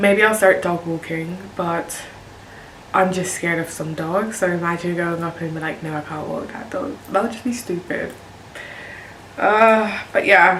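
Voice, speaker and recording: Fairly slow speech with a British accent, plus noticeable background noise and audible room echo. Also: woman, fairly low pitch for a woman. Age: 20s. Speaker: nurse and video creator. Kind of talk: casual vlog talk to camera. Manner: monotone.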